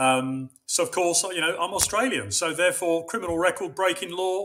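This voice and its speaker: Speaking at a moderate pace in a London accent, a man uses a high voice with ordinary pitch variation. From London, England. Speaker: runner. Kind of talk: casual chat. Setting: video call.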